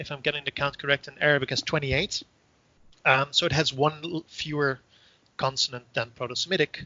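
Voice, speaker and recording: The speaker goes at a moderate pace with a Dutch accent. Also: man. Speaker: professor. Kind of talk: interview. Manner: hesitant, many fillers.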